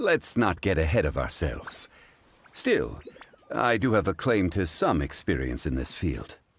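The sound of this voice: A man puts on a character voice with low pitch and a slightly husky edge. He speaks at a fairly slow pace with very wide pitch swings.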